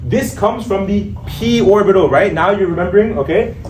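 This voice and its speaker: A man with a Pakistani accent and a high pitch, at a moderate pace, amid noticeable background noise and audible room echo. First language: Urdu. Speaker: MCAT tutor. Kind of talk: lecture. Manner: casual, stumbling over words. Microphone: no microphone.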